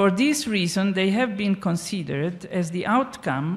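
Her pace is fairly slow and her pitch medium. The woman's voice is somewhat breathy, with lively intonation. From Italy. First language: Italian (speaking Spanish). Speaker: archaeologist, professor; conference speaker. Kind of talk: lecture. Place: stage. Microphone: handheld.

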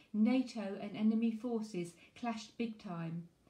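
With a dark, mellow tone and a somewhat breathy quality, a woman speaks fairly slowly at a fairly high pitch with ordinary pitch variation. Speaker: poetry reviewer and author. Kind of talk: poem reading aloud, performed. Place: home room. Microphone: phone near.

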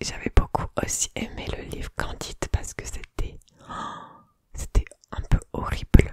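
A woman is speaking. She whispers. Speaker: ASMR creator. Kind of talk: soft-spoken reading and casual comments. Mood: amused, relaxed. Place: home room. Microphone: studio mic.

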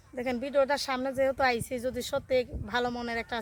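A woman with a fairly high pitch talks as noticeable background noise carries on behind her. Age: young. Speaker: interviewee seeking a marriage partner. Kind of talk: interview.

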